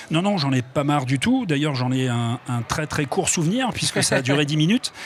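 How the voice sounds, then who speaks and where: A man speaks at a fairly high pitch and a fairly quick pace, with ordinary pitch variation. Noticeable background noise runs underneath. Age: 60s. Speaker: retired footballer, author. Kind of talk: TV interview. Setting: TV studio at an event.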